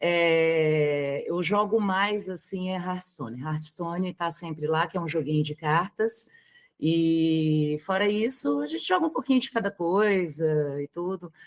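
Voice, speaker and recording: A woman's fairly low voice with a slight mineiro accent, ordinary pitch variation, and a fairly slow pace. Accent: mild Minas Gerais (mineiro). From Brazil, Minas Gerais (Belo Horizonte). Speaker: streamer. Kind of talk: interview.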